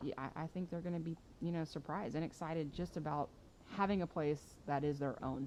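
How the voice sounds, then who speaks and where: The speaker talks fairly quickly with an American accent and fairly even intonation. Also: woman, very deep, low pitch for a woman. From Texas, Katy. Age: 30s. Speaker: softball hitting coach. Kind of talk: podcast interview.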